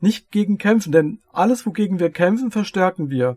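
At a fairly slow pace, a man with a high pitch talks with ordinary pitch variation, the sound dry and close with no echo. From Hesse, Darmstadt. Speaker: podcast host, energy healer. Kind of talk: casual chat.

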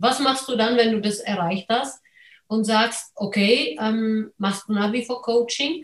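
A woman with a non-native accent and a fairly high pitch sounds somewhat breathy, talking at a very slow pace with ordinary pitch variation. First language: not German (speaking German). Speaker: podcast host, real estate investor. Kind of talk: interview.

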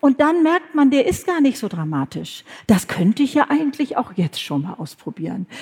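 A woman speaks with a high pitch at a moderate pace. Her pitch swings very widely. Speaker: podcast host and author. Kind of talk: live podcast conversation on stage. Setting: stage with audience.

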